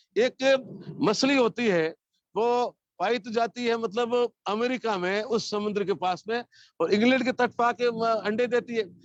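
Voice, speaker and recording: An extremely high-pitched man talks with ordinary pitch variation. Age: 70s. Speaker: speaker on scripture. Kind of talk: religious talk. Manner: halting.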